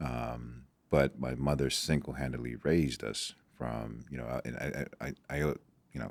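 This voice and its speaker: A man speaks with a very deep, low pitch and vocal fry. His delivery is monotone and flat, at a moderate pace. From Nigeria, moved to US as a child. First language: Igbo. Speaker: doctor and former football prospect. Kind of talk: podcast interview. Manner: halting, many fillers and repetitions.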